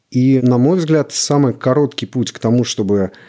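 Fairly slow delivery in a dark, mellow tone, its pitch shifting in an ordinary way. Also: man. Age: 30s. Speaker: creative studio head and writer. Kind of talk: casual chat.

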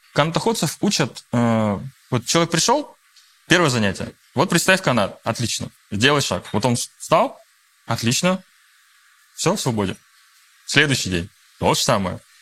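A man's fairly high, bright, sharp voice with vocal fry, very wide pitch swings, a moderate pace and long, frequent pauses. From Russia. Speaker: coach and mediator. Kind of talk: guided breathing exercise; interview. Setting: studio with live audience.

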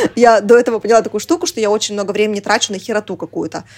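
At a very fast pace, a woman with a fairly high pitch speaks in an animated tone. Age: 20s. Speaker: podcast producer, mother. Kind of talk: casual interview chat. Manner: animated, filler-heavy.

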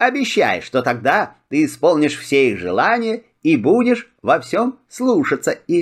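A man puts on a character voice pitched fairly high for a man, swinging widely in pitch with a slightly husky edge. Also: fairly slow pace.

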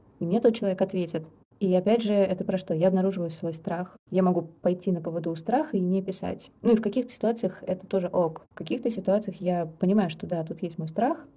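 A woman with a somewhat breathy, medium-pitched voice talks at a fairly quick pace, her pitch moving in an ordinary way. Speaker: psychologist and death doula. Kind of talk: interview.

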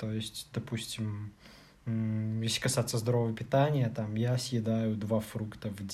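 A man speaks at a medium pitch in a flat monotone. His pace is fairly slow. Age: 30s. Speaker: podcast co-host, programmer. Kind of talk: casual chat.

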